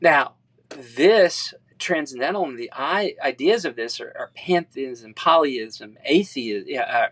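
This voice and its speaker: In a dry, close sound with no echo, a man speaks fairly slowly at a fairly high pitch with lively intonation. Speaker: Bible study teacher. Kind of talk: lecture. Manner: halting.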